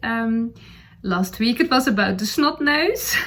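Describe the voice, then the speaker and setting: A woman's somewhat breathy voice in a Dutch accent shows ordinary pitch variation. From Netherlands. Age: 40s. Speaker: knitting podcaster. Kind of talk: casual chat. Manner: halting, many fillers.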